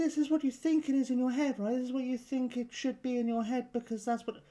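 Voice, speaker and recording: In a put-on character voice, a woman speaks at a very fast pace, high-pitched and squeaky, with fairly even intonation. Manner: exaggerated attempt at a feminine voice.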